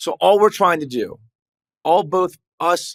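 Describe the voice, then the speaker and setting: A man in a very clean recording with a silent background and a dry, close sound with no echo. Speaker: trial lawyer. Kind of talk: casual chat. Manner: fast.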